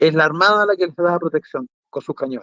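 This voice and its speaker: The recording sounds dry, close and free of echo. A man talks at a high pitch. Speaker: museum director and military historian. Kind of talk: interview on a talk show.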